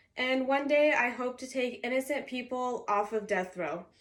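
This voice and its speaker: A woman with a Californian accent speaks at a moderate pace in a high voice, her pitch moving in an ordinary way. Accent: Californian American English. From Southern California. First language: Arabic. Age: 20s. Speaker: university student. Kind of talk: class presentation speech. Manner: formal.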